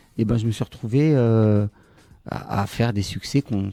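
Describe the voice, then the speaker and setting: A man speaks at a medium pitch with a dark, mellow tone and ordinary pitch variation. The recording is very clean with a silent background and a dry, close sound with no echo. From France, Tunisian parents from Le Kef. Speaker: songwriter. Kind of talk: interview. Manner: hesitant with many fillers.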